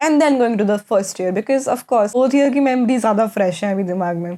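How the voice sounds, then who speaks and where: With a dark, mellow tone, a woman speaks at a medium pitch using ordinary pitch variation. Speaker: vlogger, college student. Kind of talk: casual vlog monologue.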